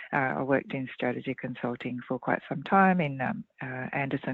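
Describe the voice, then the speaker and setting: Lively intonation from a woman with a very deep, low pitch, moving at a fairly quick pace. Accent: Australian. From Australia. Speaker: leadership consultant and author. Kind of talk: interview.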